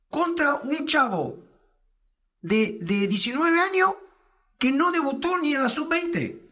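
The speaker is a man with a high pitch. The background is quiet. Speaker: fitness coach; guest fitness coach. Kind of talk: interview. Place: studio. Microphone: studio mic.

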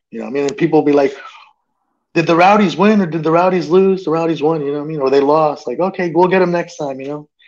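Speaking at a very fast pace with an American accent, a man uses a fairly high pitch and fairly even intonation. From New Jersey, then Tampa Bay from childhood; New Jersey. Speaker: sports fan guest; guest. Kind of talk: casual chat. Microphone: earbuds.

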